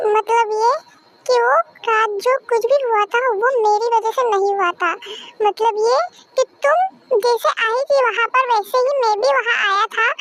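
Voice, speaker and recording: Using a put-on character voice, a woman talks at a moderate pace and extremely high pitch, with ordinary pitch variation and very even loudness. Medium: read story.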